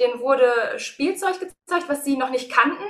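A woman speaks in a raised, projected voice at a high pitch. Background noise is noticeable. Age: 30s. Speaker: early childhood educator. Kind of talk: interview.

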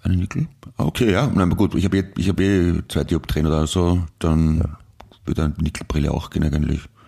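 The speech moves at a moderate pace with very even loudness and ordinary pitch variation. Noticeable background noise runs underneath. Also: man, very deep, low pitch for a man. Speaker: podcast co-host. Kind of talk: casual chat.

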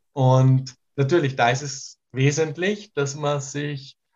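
A man speaks at a medium pitch with a somewhat breathy quality. His intonation stays fairly even. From Portugal, rural. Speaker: sound healer and songwriter. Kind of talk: casual interview.

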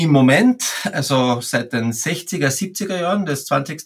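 A man's medium-pitched, somewhat breathy voice with very wide pitch swings. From Austria, Carinthia. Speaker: wildlife ecologist, bear expert. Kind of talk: interview.

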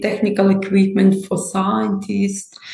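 Medium-pitched woman's voice with a Ukrainian accent and audible room echo. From Ukraine. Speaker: nature conservationist. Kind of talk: interview. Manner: halting, many hesitations.

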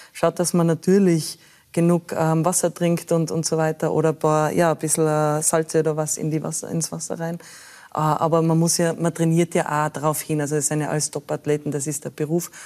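A woman speaks with a very deep, low pitch and a dark, mellow tone. Her delivery is flat and monotone at a moderate pace. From Austria, Tyrol (Innsbruck). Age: 40s. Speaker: former pro beach volleyball player, mentor. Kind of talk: talk show interview.

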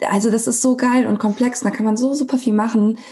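This woman's voice has a dark, mellow tone and is somewhat breathy. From Germany, Cologne. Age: 30s. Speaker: Instagram sales coach. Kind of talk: casual interview chat.

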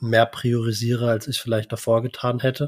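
A man talks at medium pitch. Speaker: podcast co-host. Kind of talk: casual chat.

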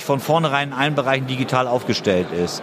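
A man with a fairly high pitch speaks fairly quickly, noticeable background noise audible behind him. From Hamburg, northern Germany. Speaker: insurance startup founder. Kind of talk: conference interview. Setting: trade fair floor.

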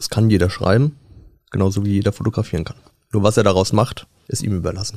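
A man with a fairly low pitch, very fast pace and long, frequent pauses. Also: fairly even intonation. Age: 20s. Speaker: press photographer, podcast co-host. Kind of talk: casual chat.

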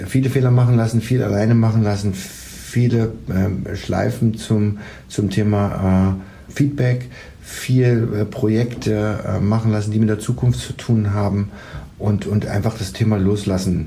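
There is noticeable background noise and audible room echo as a man speaks at a fairly slow pace. His pitch is fairly low, with ordinary pitch variation. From Saxony, Leipzig. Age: 40s. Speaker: managing director of a family business. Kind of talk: interview. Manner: halting, many fillers and restarts.

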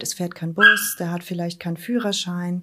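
A woman has an ordinary speaking voice with a fairly low pitch. She keeps a moderate pace and fairly even intonation. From Wismar, Mecklenburg-Vorpommern, northern Germany. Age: 30s. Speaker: head of a migration advice office. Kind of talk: interview. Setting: office.

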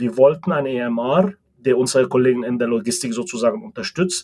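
Lively intonation at a moderate pace from a man with an unremarkable speaking voice. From Lebanon. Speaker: tech executive. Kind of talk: interview.

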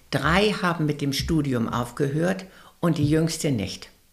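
A woman talks at a fairly slow pace with lively intonation. Her very deep, low voice is somewhat breathy. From West Prussia. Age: 70s. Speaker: philanthropist and rider. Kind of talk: interview.

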